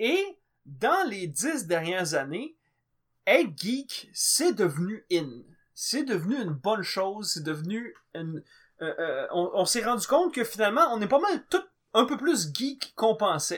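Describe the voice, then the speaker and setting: Pitched high for a man, his voice swings very widely up and down. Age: 20s. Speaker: podcast co-host. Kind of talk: casual chat.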